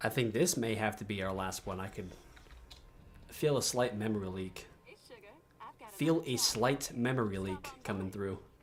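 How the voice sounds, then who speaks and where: Mumbling at a moderate pace, a man shows ordinary pitch variation and takes long, frequent pauses. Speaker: gaming streamer. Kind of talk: live gameplay stream. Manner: halting.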